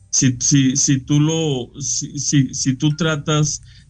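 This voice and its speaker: A man's medium-pitched voice keeps a fairly even intonation. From Mexico, Frontera/Monclova, Coahuila. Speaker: painter. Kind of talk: interview. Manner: halting.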